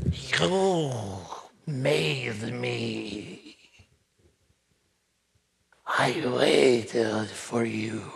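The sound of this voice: A put-on character voice, low-pitched and raspy, moves at a very slow pace. Long, frequent pauses break up the speech.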